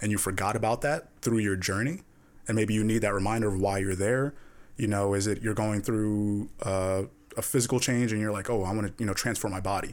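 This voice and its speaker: Fairly low in pitch, a man speaks at a fairly quick pace with fairly even intonation and an unremarkable speaking voice. The recording is very clean, with a silent background. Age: 20s. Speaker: podcast co-host. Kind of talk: casual chat.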